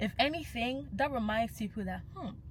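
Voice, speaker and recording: A woman with a Nigerian accent speaks at a fairly quick pace. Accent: Nigerian (Yoruba) English. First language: Yoruba. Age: young. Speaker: cultural commentator. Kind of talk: vlog monologue.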